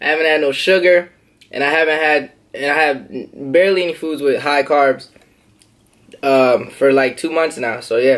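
Against a quiet background, a man speaks at a moderate pace with fairly even intonation and long, frequent pauses. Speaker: vlogger. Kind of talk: casual eating vlog chat. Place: home room. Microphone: phone near.

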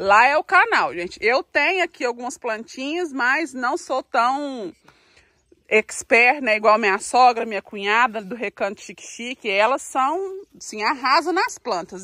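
Against a quiet background, a woman raises and projects her high-pitched voice, bright and sharp in tone, with very wide pitch swings at a fairly slow pace, the sound dry with no echo. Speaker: farm life vlogger; vlogger. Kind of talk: casual vlog talk to camera. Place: garden. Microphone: phone near.

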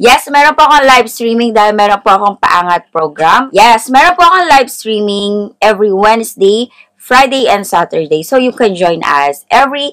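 A woman talks at a moderate pace with hardly any pauses and very wide pitch swings against a quiet background. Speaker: lifestyle vlogger. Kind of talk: casual vlog intro before a tutorial.

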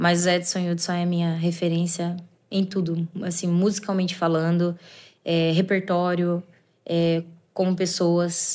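Here a woman speaks at a fairly slow pace. Her fairly low voice is monotone and flat. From Limeira, São Paulo state, Brazil; São Paulo State, Brazil. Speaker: sertanejo singer; guest. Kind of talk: casual chat; interview answer. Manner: halting. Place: studio. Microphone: studio mic.

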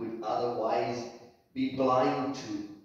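Speaking very slowly in a monotone, flat intonation, a man is heard with strong room echo. The background is quiet. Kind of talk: spoken prayer. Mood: calm, reverent. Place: church. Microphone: camera far.

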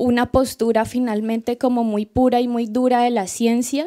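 A woman's fairly high voice at a moderate pace over a quiet background. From Colombia. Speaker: student, audience member; audience member. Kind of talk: audience question. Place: hall.

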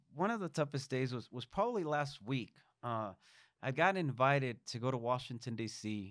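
A man with a Spanish accent at a moderate pace, dry with no echo, over a quiet background. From Mexico. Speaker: state legislator. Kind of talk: interview. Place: studio. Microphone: studio mic.

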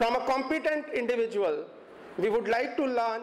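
A man speaks at an extremely high pitch with ordinary pitch variation. Room echo is audible. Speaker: guest. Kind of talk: formal introduction speech. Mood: warm, proud. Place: classroom. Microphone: podium.

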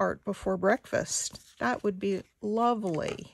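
The woman's voice sounds dry with no echo as she speaks at a fairly slow pace. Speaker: craft artist and video maker. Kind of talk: craft tutorial chat while working. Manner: casual, hesitant; quiet when concentrating. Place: home room.

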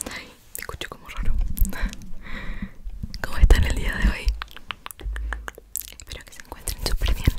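Whispering at a fairly quick pace, a woman uses a gentle tone. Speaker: ASMR creator. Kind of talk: whispered ASMR vlog chat. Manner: gentle whispered intro talk. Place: home room. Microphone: studio mic.

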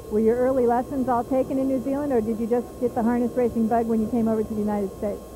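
Over noticeable background noise, a woman rushes along at a very fast pace in a fairly high pitch with monotone, flat intonation, hardly any pauses and a dry sound with no echo. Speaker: racetrack interviewer. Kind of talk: trackside sports interview. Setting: at a fairground racetrack. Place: stadium. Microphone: handheld.

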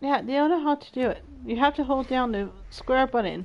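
A woman's high-pitched voice at a fairly quick pace. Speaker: video game streamer. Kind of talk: live gaming stream chat. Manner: animated. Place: home room.

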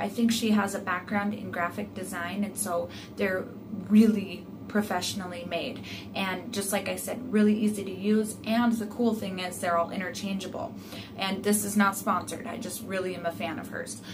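A woman speaks at a moderate pace with fairly even intonation over noticeable background noise. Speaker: home sewing vlogger. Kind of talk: tutorial intro, casual vlog chat. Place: home room. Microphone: phone near.

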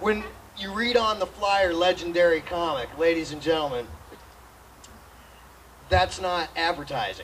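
Over light background noise, a man with a high pitch talks at a moderate pace. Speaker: comedian introducing the act. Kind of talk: stage introduction.

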